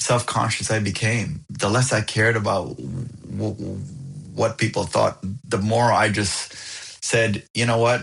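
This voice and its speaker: Over music in the background, a man speaks fairly slowly at a medium pitch with fairly even intonation. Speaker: stuttering advocate, TEDx speaker. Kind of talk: interview answer.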